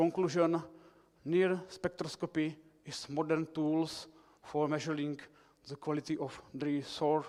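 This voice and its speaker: A man with a fairly high voice speaks very slowly in a flat monotone, breaking often into long pauses. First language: Czech. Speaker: researcher. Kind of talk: conference presentation. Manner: halting.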